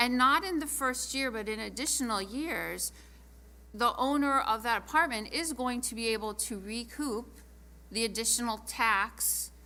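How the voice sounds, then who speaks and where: A woman talks at a moderate pace. Room echo is audible around her voice. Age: 60s. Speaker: city council member. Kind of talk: council meeting debate.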